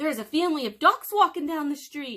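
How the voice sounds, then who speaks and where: A woman's put-on character voice, high-pitched and at a fairly quick pace. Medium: read story.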